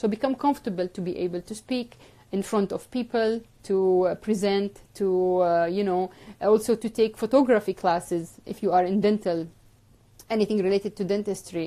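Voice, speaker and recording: A woman with an Arabic accent, medium in pitch, dark and mellow in tone, at a moderate pace with fairly even intonation, on a very clean recording with a silent background. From Jordan. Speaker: orthodontist and dental educator. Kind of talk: live stream talk giving advice. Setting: live video stream. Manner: hesitant with frequent fillers.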